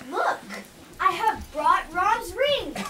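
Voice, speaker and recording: An extremely high-pitched, put-on character voice against clear background noise. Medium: stage play.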